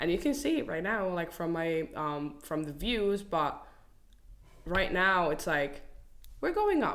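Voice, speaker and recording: Fairly slow speech with long, frequent pauses and audible room echo. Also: woman, fairly low pitch for a woman, lively intonation. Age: 20s. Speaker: content creator. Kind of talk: casual chat.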